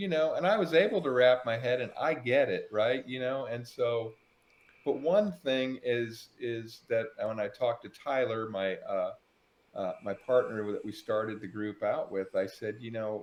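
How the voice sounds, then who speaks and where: Delivered at a fairly slow pace, a normal speaking voice carries lively intonation. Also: man, medium pitch for a man. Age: 60s. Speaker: farmer and crypto podcast host. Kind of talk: casual chat.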